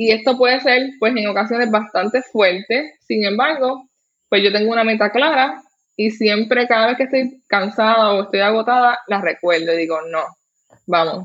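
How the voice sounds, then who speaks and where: A woman with a Puerto Rican accent speaks in a fairly high-pitched voice. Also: ordinary pitch variation, moderate pace. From Puerto Rico. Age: 30s. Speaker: professional organizer. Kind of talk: interview.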